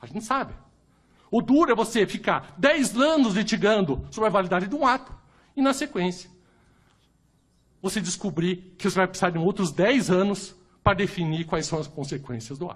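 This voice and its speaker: In a Curitiba accent, the speaker moves at a moderate pace with an animated tone, very wide pitch swings and long, frequent pauses. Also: man, high pitch for a man. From Brazil, Curitiba. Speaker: lawyer and jurist. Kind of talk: panel debate talk.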